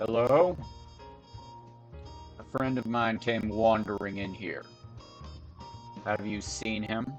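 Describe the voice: Using a put-on character voice at medium pitch, a man talks at a fairly slow pace with ordinary pitch variation and long, frequent pauses while music plays clearly in the background.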